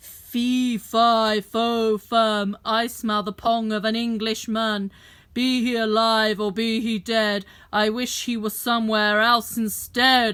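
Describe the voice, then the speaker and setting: A woman's bellowing, put-on character voice, fairly high in pitch, monotone with flat intonation, at a fairly slow pace. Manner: roaring.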